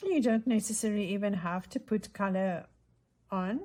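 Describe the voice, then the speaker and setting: At a fairly slow pace, a woman with a medium pitch speaks in a dark, mellow tone that is somewhat breathy. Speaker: craft tutorial host. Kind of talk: tutorial. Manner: casual, thinking aloud.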